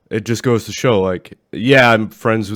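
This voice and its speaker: A man in a Maine accent talks at a moderate pace and a fairly low pitch. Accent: Maine accent, words run together. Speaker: podcast co-host. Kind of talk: casual chat. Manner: runs words together, poor enunciation.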